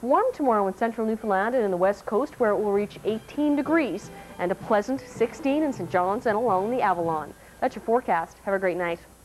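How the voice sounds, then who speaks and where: The delivery comes at a fairly quick clip. Some faint music sits underneath it. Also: woman. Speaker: TV presenter. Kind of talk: weather forecast. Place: studio. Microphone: lapel.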